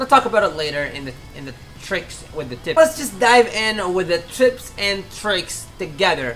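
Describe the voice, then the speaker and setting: A woman with a non-native accent at a medium pitch, very wide pitch swings, big swings in loudness and a moderate pace, with music in the background. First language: not English. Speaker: gaming YouTuber. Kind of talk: game tutorial. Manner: casual, halting with self-corrections.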